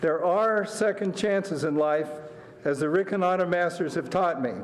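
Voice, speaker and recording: A high-pitched man at a moderate pace, with ordinary pitch variation, over noticeable background noise. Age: 60s. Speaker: public commenter, masters swimmer. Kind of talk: prepared public comment. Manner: formal.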